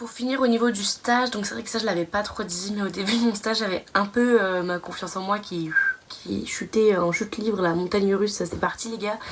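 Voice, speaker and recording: Speech comes at a fairly quick pace with a slight Belgian accent and fairly even intonation. There is noticeable background noise. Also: woman, medium pitch for a woman. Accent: slight Belgian accent picked up. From France. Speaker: nursing student vlogger. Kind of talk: casual vlog monologue. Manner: hesitant, many fillers.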